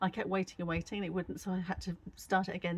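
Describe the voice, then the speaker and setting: A woman speaks in an English accent with a fairly low pitch. Her voice is somewhat breathy. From England. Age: 60s. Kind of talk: casual talk to camera.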